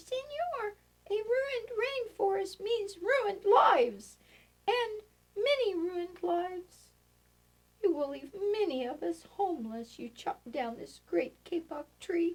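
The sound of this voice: A woman's squeaky, put-on character voice at an extremely high pitch. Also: fairly slow pace.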